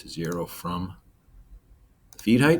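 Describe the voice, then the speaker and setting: Speaking at a fairly slow pace, the man has a very deep, low pitch. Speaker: CNC machining instructor. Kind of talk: software tutorial. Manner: casual, filler-heavy.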